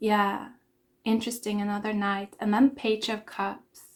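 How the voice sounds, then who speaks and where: A woman speaks in a fairly high, somewhat breathy voice. The recording is very clean, with a silent background. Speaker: tarot reader. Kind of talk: tarot reading. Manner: hesitant, filler-heavy.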